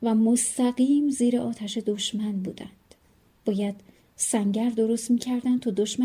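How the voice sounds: With fairly even intonation, the reading voice sounds natural.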